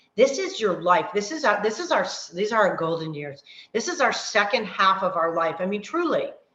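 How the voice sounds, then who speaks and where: In a room with audible echo, a woman speaks animatedly at a medium pitch, her voice swinging very widely in pitch. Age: 50s. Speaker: fitness coach. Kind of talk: online workshop talk. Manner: fast.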